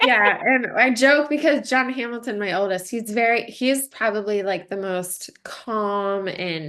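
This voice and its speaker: The voice is loud and energetic, swinging very widely in pitch. The background is quiet. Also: woman. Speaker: entrepreneur and mother. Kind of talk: casual interview chat. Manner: halting with fillers.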